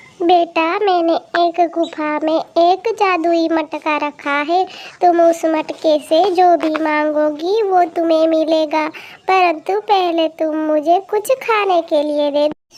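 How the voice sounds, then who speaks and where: In a cartoonish character voice, a woman speaks at an extremely high pitch and a very slow pace. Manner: gentle, affectionate, calls listener "beta".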